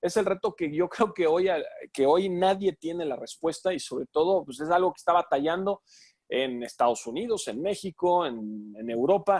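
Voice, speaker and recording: A man's high voice with very wide pitch swings at a moderate pace, in a dry, close sound with no echo on a very clean recording with a silent background. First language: English (speaking Spanish). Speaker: sports commentator. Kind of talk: Q&A talk. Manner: halting, many fillers.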